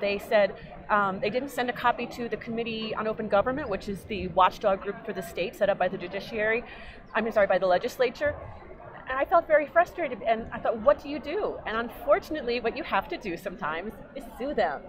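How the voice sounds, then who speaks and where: With an American accent, this speaker races along at a very fast pace with lively intonation over noticeable background noise. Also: woman, fairly high pitch for a woman. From New York. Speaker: genealogy hobbyist and nonprofit founder; interview guest. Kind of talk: interview. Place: hall.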